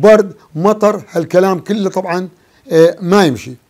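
A man speaks in a high voice. The background is quiet. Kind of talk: interview answer. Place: studio. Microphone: lapel.

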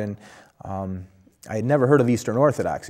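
The speaker uses ordinary pitch variation against a quiet background. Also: man. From Buffalo, New York area; New York. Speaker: Orthodox priest, former police officer; Orthodox priest. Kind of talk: interview. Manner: hesitant, many fillers. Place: studio. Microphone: lapel.

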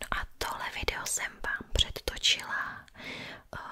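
At a fairly slow pace, a woman speaks in a whisper. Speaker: ASMR creator. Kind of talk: soft-spoken show-and-tell chat. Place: home room. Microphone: studio mic.

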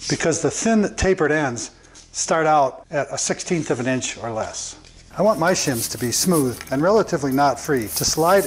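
A man speaks at a moderate pace with lively intonation. There is light background noise. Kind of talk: tutorial. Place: workshop. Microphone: lapel.

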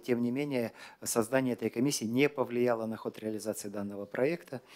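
Speaking at a moderate pace, a man has a dark, mellow tone and fairly even intonation. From Kazakhstan. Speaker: government minister. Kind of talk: press briefing answers. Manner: formal. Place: hall. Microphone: podium.

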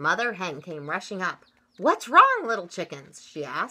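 Someone is reading aloud. The delivery is plain reading aloud.

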